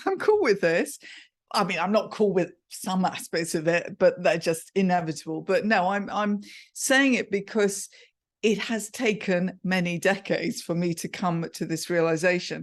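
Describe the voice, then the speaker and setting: A woman with an English accent speaks in an animated tone at a moderate pace. Her pitch variation is ordinary, and the background is quiet. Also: medium pitch for a woman. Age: 60s. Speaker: communication coach. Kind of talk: podcast interview.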